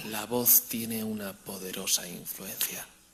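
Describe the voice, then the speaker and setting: Mumbling in a put-on character voice, a man speaks at a fairly low pitch and fairly slow pace over light background noise. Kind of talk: unconvincing, lacking credibility. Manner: low intensity, mouth barely open, mumbled, slow.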